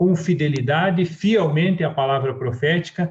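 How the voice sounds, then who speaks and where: With a southern Brazilian accent, a man speaks at a fairly high pitch. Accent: gaúcho Brazilian Portuguese. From southern Brazil (Rio Grande do Sul). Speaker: church preacher. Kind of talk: sermon.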